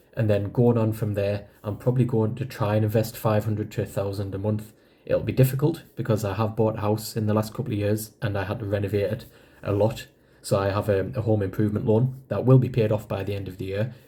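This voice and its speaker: A man talks at a very fast pace in a dark, mellow tone, somewhat breathy. His pitch is fairly low and his intonation fairly even. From northeast England. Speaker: personal finance vlogger. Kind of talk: casual vlog explanation. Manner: conversational.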